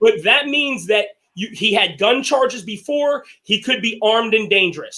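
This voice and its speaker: The man talks loudly at a moderate pace, his pitch high with ordinary variation. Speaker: show host. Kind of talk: casual debate discussion.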